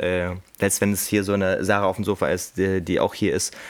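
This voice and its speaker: A man talks with a fairly low pitch at a moderate pace, with noticeable background noise in the recording. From Hameln, Lower Saxony, Germany. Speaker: podcast host. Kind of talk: casual chat. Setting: coworking space studio.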